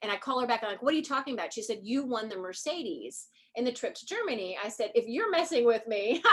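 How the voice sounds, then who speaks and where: A woman's raised, projected voice in an animated tone, very fast, with big swings in loudness and very wide pitch swings. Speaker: real estate agent. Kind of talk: casual chat.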